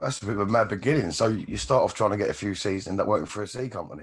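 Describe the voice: A man talks at a very fast pace in a fairly low, croaky voice with a slightly husky edge and ordinary pitch variation.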